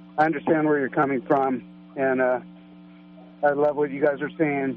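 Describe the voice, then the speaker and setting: Noticeable background noise sits behind a man speaking at a medium pitch with fairly even intonation. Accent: American. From Northern California. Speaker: radio caller. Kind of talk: call-in comment. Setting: phone call. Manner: halting.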